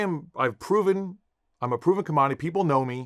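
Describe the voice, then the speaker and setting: Here a man talks at a very fast pace. His pitch is fairly high and his intonation lively. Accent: American. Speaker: actor. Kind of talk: interview. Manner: halting, repeats words.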